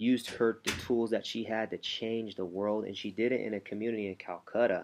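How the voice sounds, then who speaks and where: A man's moderate-paced delivery, monotone and flat in intonation. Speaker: motivational coach. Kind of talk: motivational talk. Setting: at home. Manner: quiet, low voice; hesitant, many fillers.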